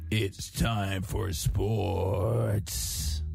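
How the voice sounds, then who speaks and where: Over clear background music, a man puts on a character voice at a fairly low pitch. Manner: excited, announcer-like.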